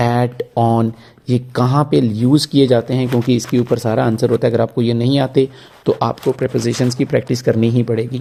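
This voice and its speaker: Monotone and flat in intonation, a man speaks at medium pitch and a moderate pace. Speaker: IELTS teacher. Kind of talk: tutorial.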